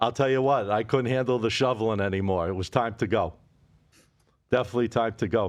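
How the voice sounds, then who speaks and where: A man with a Boston accent talks very fast at a medium pitch. The background is quiet. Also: ordinary pitch variation. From Boston area, New England. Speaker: sports betting podcast host. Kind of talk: casual chat.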